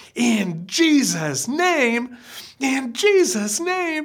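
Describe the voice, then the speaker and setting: In a put-on character voice, a female-sounding speaker goes very slowly at a high, shrill pitch with very wide pitch swings. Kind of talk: shouting a correction. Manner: angry, shrill.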